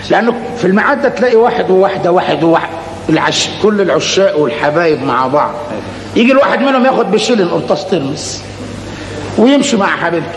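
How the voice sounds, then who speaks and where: A man speaks at a fairly quick pace over light background noise, with audible echo from the room. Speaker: comic stage actor. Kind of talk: comic stage monologue. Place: stage.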